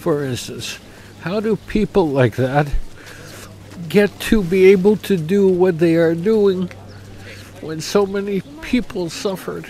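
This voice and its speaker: A man with a Canadian accent and high pitch, fairly slow with long, frequent pauses and ordinary pitch variation, over noticeable background noise. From Canada. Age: 60s. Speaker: memorial visitor. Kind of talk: emotional vox pop interview.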